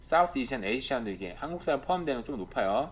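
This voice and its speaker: A man talks with a medium-pitched voice. His pitch swings very widely. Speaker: YouTuber commenting on Canadian real estate and life. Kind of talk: casual commentary over on-screen data. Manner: speeding up as he gets heated.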